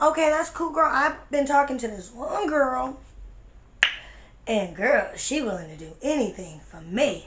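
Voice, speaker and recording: A woman puts on a raspy character voice with a high pitch and very wide pitch swings, speaking at a moderate pace with big swings in loudness. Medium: solo performance. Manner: casual, slangy.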